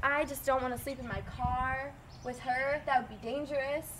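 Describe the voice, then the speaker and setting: Against noticeable background noise, a woman speaks in a raised, projected voice. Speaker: student actor. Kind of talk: acted dialogue. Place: street.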